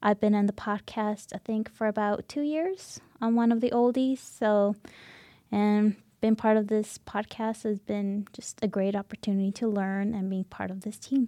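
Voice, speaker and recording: On a very clean recording with a silent background and a dry, close sound with no echo, a woman with a dark, mellow tone speaks at a fairly high pitch and a moderate pace, with fairly even intonation. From Canada, moved from Chile at age 7 or 8. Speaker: student podcast producer. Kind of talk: casual panel discussion.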